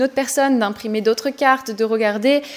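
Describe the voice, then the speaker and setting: There is noticeable background noise behind the voice. A woman talks at a fairly quick pace. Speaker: human design coach and podcast host. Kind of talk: tutorial podcast. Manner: fast; enthusiastic.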